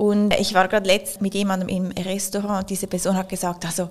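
The speaker moves at a fairly quick pace. Their intonation stays monotone and flat. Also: woman. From Switzerland, Zurich. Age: 30s. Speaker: company executive. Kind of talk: interview.

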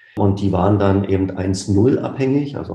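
Somewhat breathy, a man's dark, mellow tone sits at a fairly low pitch. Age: 40s. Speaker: management consultant, former insurance executive. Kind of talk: interview.

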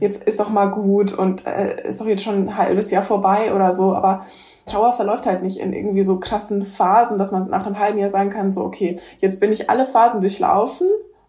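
Her intonation monotone and flat, a woman talks at a fairly quick pace. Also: medium pitch for a woman. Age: 20s. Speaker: hospice companion and author. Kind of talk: interview conversation. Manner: laughs often.

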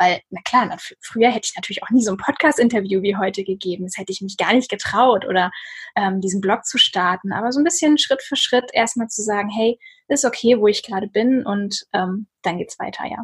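This woman's voice is somewhat breathy and fairly high, with ordinary pitch variation. Her loudness swings widely. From northern Germany, Lübeck. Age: 30s. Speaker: author and blogger. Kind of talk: casual interview conversation.

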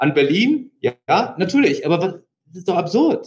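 A man is talking here. The pitch of his voice rises and falls across a very wide range. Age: 40s. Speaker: company founder and CEO. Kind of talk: interview.

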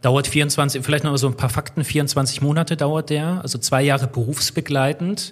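This man's voice is fairly high for a man and somewhat breathy. He keeps a moderate pace and fairly even intonation, with hardly any pauses. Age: 30s. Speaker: railway systems engineer, former train driver. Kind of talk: podcast interview.

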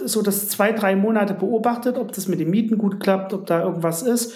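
Audible room echo surrounds a man's high-pitched voice. He speaks at a fairly quick pace. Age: 30s. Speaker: insurance broker and garage investor. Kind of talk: interview.

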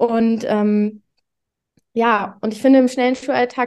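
A woman with an unremarkable speaking voice talks at a moderate pace, her pitch fairly high and her intonation fairly even. The background is quiet. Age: 20s. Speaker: primary school teacher. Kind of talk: casual interview.

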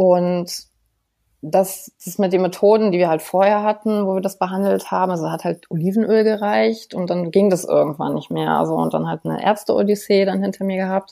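A woman speaks at a medium pitch in a dark, mellow tone. Her intonation is fairly even and her pace moderate. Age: 30s. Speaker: psoriasis patient. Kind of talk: interview.

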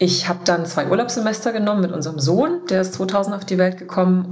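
Amid noticeable background noise, a woman talks at a fairly low pitch with ordinary pitch variation. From eastern Germany, Dessau (Saxony-Anhalt). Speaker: founder of a women's leadership network. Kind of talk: interview.

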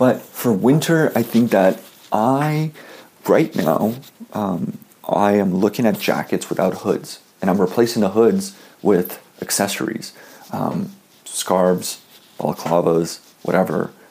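With a Canadian accent, a man talks at a fairly low pitch and a fairly slow pace, using lively intonation and long, frequent pauses over noticeable background noise. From Canada. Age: 20s. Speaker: fashion blogger. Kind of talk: interview.

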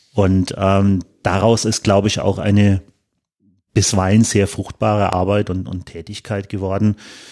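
A man speaks at a fairly slow pace in a fairly low pitch, his tone dark and mellow and his intonation flat and monotone. The sound is dry and close with no echo, over a quiet background. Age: 30s. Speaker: football club supervisory board member. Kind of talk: podcast interview. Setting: studio, in person. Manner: hesitant, many fillers.

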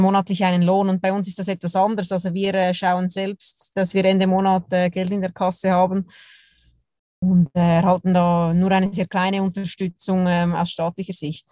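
A woman speaks at medium pitch and a moderate pace, in a dark, mellow tone with monotone, flat intonation. The sound is dry and close, with no echo. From Switzerland, Zurich. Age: 30s. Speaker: professional curler. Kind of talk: interview.

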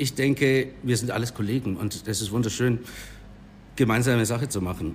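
Long, frequent pauses break up this man's medium-pitched speech. His voice is somewhat breathy, with fairly even intonation. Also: moderate pace. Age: 30s. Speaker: bar owner. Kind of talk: casual interview. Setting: in his bar.

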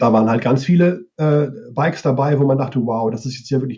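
Talking at a very fast pace, a man with a medium pitch and ordinary pitch variation sounds somewhat breathy, his tone dark and mellow. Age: 50s. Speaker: advertising sales manager and cycling writer. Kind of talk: casual interview.

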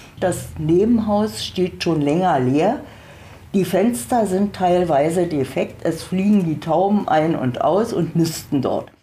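A woman with a fairly low pitch speaks very slowly, her intonation lively and her loudness very even. Room echo can be heard. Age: 70s. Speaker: tenant. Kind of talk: interview testimony.

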